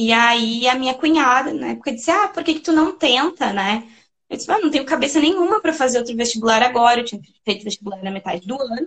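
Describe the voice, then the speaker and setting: Her voice high and her intonation lively, a woman speaks at a fairly quick pace. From Rio Grande do Sul, Brazil (Serra Gaúcha). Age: 30s. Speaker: doctoral researcher in education. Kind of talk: interview.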